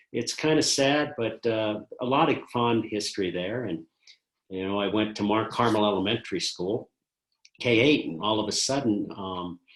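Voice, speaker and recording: A man with an American accent speaks at a moderate pace in a plain, everyday voice, fairly low in pitch with ordinary pitch variation. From US West, Colorado (North Denver). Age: 60s. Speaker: retired school principal. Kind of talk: oral history interview.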